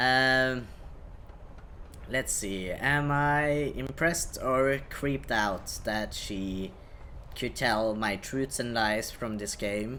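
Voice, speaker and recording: Slow in the extreme, a man's medium-pitched voice with ordinary pitch variation carries audible room echo. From Norway. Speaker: video game streamer. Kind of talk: live game stream chat. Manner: hesitant, many fillers.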